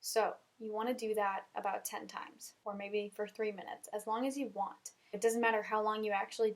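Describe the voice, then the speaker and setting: The speaker is a woman with a fairly high pitch. She moves along at a fairly quick pace. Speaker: self-help podcaster. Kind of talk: motivational talk. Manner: fast; animated.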